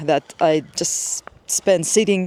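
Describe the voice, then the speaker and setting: With a non-native accent, a woman speaks at a fairly low pitch in a dry, close sound with no echo. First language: not English. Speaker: lifestyle vlogger, IT worker. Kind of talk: casual vlog monologue. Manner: casual, with fillers and hesitations.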